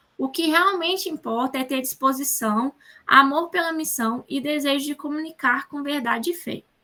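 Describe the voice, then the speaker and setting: A woman with a high pitch and a bright, sharp tone speaks in a raised, projected voice at a moderate pace, with ordinary pitch variation. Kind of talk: online class lecture.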